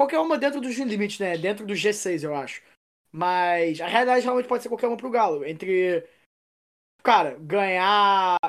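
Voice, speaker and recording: Her unremarkable speaking voice sits at medium pitch, and this woman talks at a moderate pace with lively intonation. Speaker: football podcast co-host. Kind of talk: casual chat.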